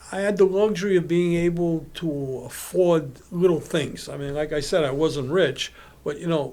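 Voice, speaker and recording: Speaking at a moderate pace with a Brooklyn accent, a man uses a fairly high pitch and ordinary pitch variation. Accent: New York (Brooklyn). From Brownsville, Brooklyn, New York. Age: 70s. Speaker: apparel businessman. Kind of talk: casual podcast interview. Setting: studio. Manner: animated storytelling.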